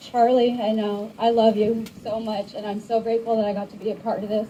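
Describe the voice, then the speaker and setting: A shaky woman's voice. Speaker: protest participant. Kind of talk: speech at open mic.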